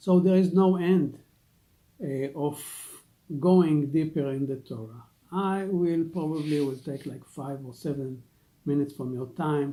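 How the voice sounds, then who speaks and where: A man with an Israeli accent speaks at a fairly slow pace with long, frequent pauses. His dark, mellow voice has ordinary pitch variation and big swings in loudness. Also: fairly high pitch for a man. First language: Hebrew. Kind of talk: religious teaching talk. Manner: halting, many fillers.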